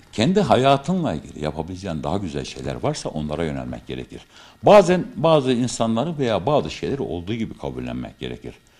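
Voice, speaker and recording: A man speaks with a very deep, low pitch and vocal fry, his pitch swinging very widely. His pace is fairly quick, with hardly any pauses. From Turkey, Kayseri; Turkey. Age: 50s. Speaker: amateur theatre actor. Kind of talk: interview. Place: hall. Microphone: studio mic.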